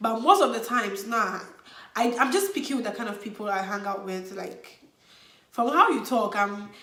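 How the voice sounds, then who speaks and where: Fairly high-pitched woman at a moderate pace, with ordinary pitch variation and big swings in loudness, over noticeable background noise. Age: 20s. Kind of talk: casual talk to camera. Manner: energetic, upbeat.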